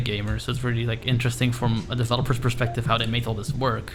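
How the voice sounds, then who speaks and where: A man speaking very fast with a Dutch accent, monotone and flat, over background music with audible room echo. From Netherlands. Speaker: blind gamer and streamer. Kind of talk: live game stream chat. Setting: echoey room. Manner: casual, frequent fillers. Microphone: echoey room.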